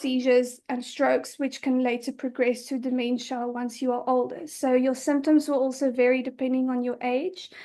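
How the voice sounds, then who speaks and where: A woman speaks in a high, flat monotone. The background is quiet. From South Africa. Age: 20s. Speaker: patient advocate. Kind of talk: interview. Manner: hesitant, many fillers.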